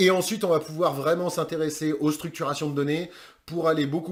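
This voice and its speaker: A man talks at a fairly quick pace in a fairly high voice. His intonation is fairly even. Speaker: online course trainer in recruitment sourcing. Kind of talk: course introduction. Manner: fast; casual, with many hesitations.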